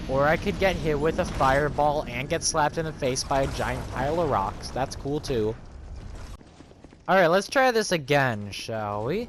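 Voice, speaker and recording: Noticeable background noise sits under the recording. A man speaks with a fairly high pitch. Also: lively intonation, moderate pace. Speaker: gaming youtuber. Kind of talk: let's play commentary. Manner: casual, halting.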